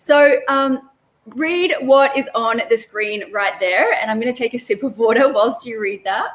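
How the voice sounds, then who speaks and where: Her voice is high-pitched for a woman, with ordinary pitch variation. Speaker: online business coach. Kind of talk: live webinar teaching. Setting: live stream. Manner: fast.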